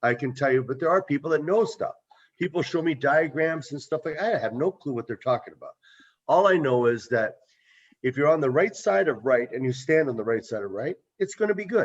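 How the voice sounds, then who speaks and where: A man with a plain, everyday voice talks fairly quickly at a fairly high pitch, with lively intonation. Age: 60s. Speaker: local business owner. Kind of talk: community meeting discussion.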